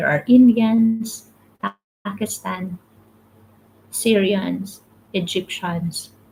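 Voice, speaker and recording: A somewhat breathy woman's voice in a Filipino accent, dark and mellow at medium pitch, very slow with long, frequent pauses and ordinary pitch variation. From Philippines. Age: 30s. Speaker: motivational livestreamer. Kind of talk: live stream talk, reading comments. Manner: repetitive, halting.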